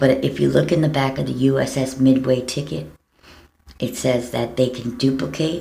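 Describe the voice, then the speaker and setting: A woman's very deep, low voice with vocal fry, a dark, mellow tone and fairly even intonation, in an American accent, at a fairly slow pace, with audible room echo. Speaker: vlogger. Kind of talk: personal video appeal. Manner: halting.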